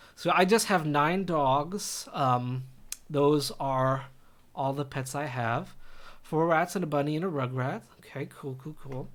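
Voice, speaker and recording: The recording has audible room echo. A man with a fairly high pitch talks in an American accent. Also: ordinary pitch variation. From US West Coast, Los Angeles (Glendale). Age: 30s. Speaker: college chemistry instructor. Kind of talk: lecture, casual class introduction. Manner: casual, chatty.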